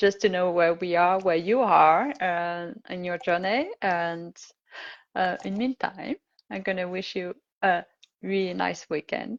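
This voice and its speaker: A woman with a non-native accent speaks at a fairly slow pace and medium pitch with ordinary pitch variation, in a dry, close sound with no echo. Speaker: confidence coach and live-stream host. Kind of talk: casual interview.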